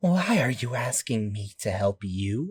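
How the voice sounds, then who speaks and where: A put-on character voice comes at a low pitch and a fairly slow pace. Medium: read story. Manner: hostile, suspicious.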